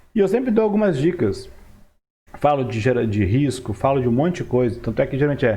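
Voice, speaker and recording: A man's fairly high, somewhat breathy voice with a dark, mellow tone, very fast pace and very wide pitch swings. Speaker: market analyst YouTuber. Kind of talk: market commentary tutorial. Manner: casual.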